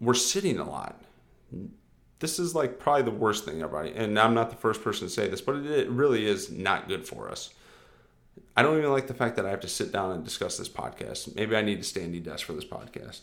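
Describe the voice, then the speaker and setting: A man speaks at a fairly quick pace in an unremarkable speaking voice. His intonation is lively. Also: medium pitch for a man. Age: 30s. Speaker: fitness coach podcast host. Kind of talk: solo podcast monologue. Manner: casual, filler-heavy.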